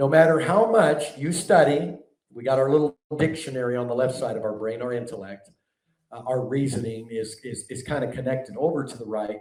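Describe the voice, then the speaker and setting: At a moderate pace, a man speaks in a somewhat breathy, medium-pitched voice with ordinary pitch variation. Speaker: preacher and teacher. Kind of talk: sermon-style teaching.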